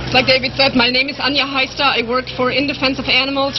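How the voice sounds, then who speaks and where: A woman with a German accent speaks quickly-ish, at a fairly quick pace and high pitch, in a monotone, flat intonation, with noticeable background noise and audible room echo. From Germany. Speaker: animal rights advocate. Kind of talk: rally speech.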